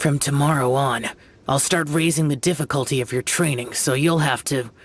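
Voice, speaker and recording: Putting on a character voice, a man speaks fairly high at a moderate pace, with fairly even intonation and very even loudness. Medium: video game. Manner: curt, cold.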